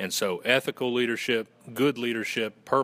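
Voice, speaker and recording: A man's medium-pitched voice in a Southern US accent, at a moderate pace. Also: very clean recording, silent background. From Western North Carolina. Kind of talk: casual, folksy.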